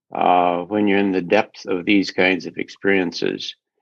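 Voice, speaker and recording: A man with a normal speaking voice talks at a fairly slow pace, his pitch fairly low. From US Midwest. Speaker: interview guest. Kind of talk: casual chat.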